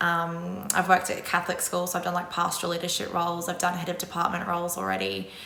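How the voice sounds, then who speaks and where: A woman with an Australian accent talks very fast in a fairly low voice. Noticeable background noise and audible room echo accompany her. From Australia, Brisbane. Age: 30s. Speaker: secondary school drama teacher. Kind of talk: interview monologue. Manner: casual, with frequent fillers.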